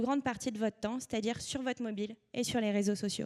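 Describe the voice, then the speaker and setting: This woman's voice has a dark, mellow tone and moves at a very fast pace. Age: 20s. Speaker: media co-founder. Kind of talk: conference talk. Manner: hesitant, many fillers.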